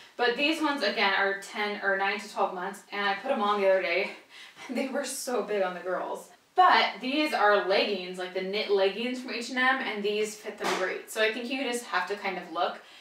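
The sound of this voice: A fairly bright tone at a moderate pace, with audible room echo. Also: woman, medium pitch for a woman, ordinary pitch variation.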